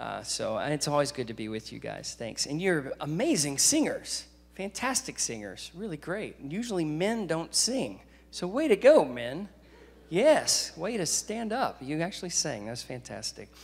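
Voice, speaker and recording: The speaker is a man with a moderate pace. The pitch of his voice swings very widely. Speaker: guest preacher. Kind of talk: sermon. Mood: warm, joking. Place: church. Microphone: handheld.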